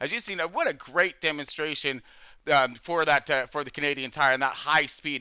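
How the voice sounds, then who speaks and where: A man's bright, sharp voice at a fairly quick pace, in a very clean recording with a silent background and a dry, close sound with no echo. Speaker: sim racing broadcast host. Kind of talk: live commentary. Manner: fast.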